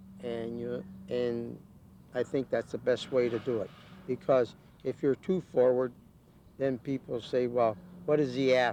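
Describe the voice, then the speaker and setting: Pausing long and often, a man with a Midwestern US accent speaks fairly slowly in a dark, mellow tone with ordinary pitch variation. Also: medium pitch for a man. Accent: US Midwest. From Ohio, Canton. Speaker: retired ballroom dancer. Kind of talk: documentary interview. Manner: halting.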